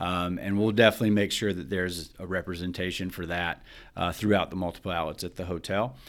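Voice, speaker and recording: A very deep, low male voice with a Southern US accent and fairly even intonation. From Alabama, US South. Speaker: hotel food and beverage director. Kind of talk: interview.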